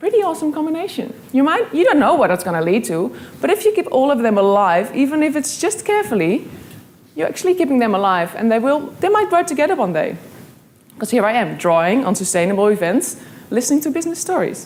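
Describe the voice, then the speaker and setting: A woman's high-pitched voice with a Dutch accent, very wide pitch swings and a very fast pace, over noticeable background noise. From Netherlands, Amsterdam. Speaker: graphic illustrator and speaker. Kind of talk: motivational talk.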